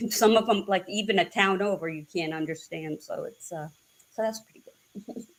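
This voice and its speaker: This woman speaks at a moderate pace with a slight northern US accent. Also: medium pitch for a woman, ordinary pitch variation, big swings in loudness. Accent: subtle northern US twang. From New England (New Hampshire/Massachusetts). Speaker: guest at a psychic reading. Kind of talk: casual chat.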